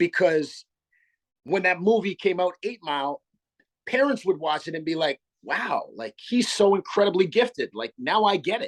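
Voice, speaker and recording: A man's high-pitched voice at a moderate pace, with lively intonation and a dry, close sound with no echo. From Canada (Sarnia, Ontario). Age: 40s. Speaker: hip-hop artist. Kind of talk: interview.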